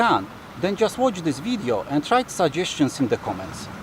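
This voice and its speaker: Amid noticeable background noise, a man with a non-native accent and a high pitch speaks at a fairly quick pace with very wide pitch swings. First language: not English. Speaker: dive center worker and video host. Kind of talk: casual video intro.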